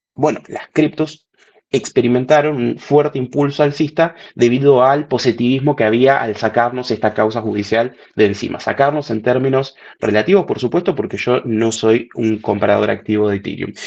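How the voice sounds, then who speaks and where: A man talks at a moderate pace at medium pitch, with ordinary pitch variation. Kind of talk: webinar presentation. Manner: animated.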